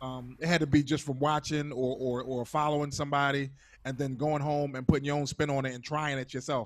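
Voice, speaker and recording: A man talks at a fairly quick pace in a fairly high pitch with flat, monotone intonation. The background is quiet. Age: 40s. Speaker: interview host and DJ; interview host, DJ. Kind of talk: casual interview. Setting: video call. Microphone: handheld.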